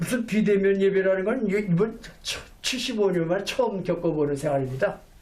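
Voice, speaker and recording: A high-pitched man's voice with audible room echo. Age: 70s. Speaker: pastor. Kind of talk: sermon. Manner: halting, with self-corrections.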